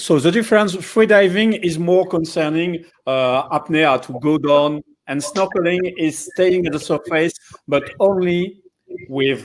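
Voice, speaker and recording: Speaking at a very slow pace, a man with a strong French accent uses a high pitch and ordinary pitch variation. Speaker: dive center operator. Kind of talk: live educational stream. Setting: live online stream.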